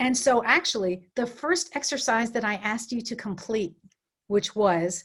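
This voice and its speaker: A woman speaks with a somewhat breathy voice and lively intonation. The recording is very clean, with a silent background. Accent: New York. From New York City area. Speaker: coach and facilitator. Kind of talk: workshop presentation; guided visualization. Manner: fast.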